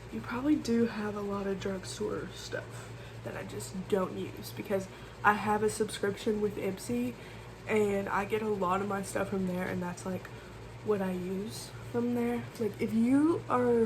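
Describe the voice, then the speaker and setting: Loud and at a fairly slow pace, a woman speaks at a medium pitch with very wide pitch swings, with audible room echo. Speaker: beauty vlogger. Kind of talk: casual makeup tutorial vlog. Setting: bedroom. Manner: loud, talking over fan.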